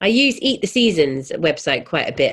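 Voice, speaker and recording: On a very clean recording with a silent background, a woman with a southern English accent talks at a fairly slow pace. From England, London. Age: 40s. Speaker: chef and cookbook author. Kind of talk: casual chat.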